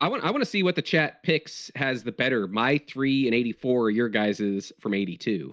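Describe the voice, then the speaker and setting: In a normal speaking voice, a man at medium pitch talks at a moderate pace with lively intonation and hardly any pauses, the sound dry and close with no echo against a quiet background. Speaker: sports podcast co-host. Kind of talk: casual chat.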